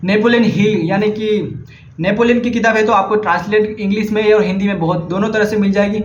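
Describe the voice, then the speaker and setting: Through audible room echo and noticeable background noise, a man speaks at a moderate pace and high pitch with fairly even intonation. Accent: Gujarati. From India, Gujarat. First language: Gujarati (speaking Hindi). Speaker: vlogger, book recommender. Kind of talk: casual vlog monologue. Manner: halting, self-correcting.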